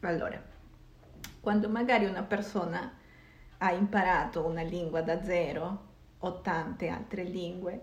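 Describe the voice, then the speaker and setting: A woman in a Spanish accent, with ordinary pitch variation and audible room echo. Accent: Spanish-accented Italian. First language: Spanish (speaking Italian). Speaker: podcast host. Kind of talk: casual chat.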